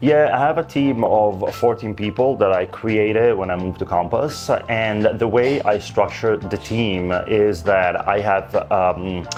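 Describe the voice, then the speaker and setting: With music in the background, a man speaks in an Italian accent at a fairly slow pace, with hardly any pauses. His voice is fairly low, with ordinary pitch variation. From Italy. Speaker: luxury real estate agent. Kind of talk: interview answer.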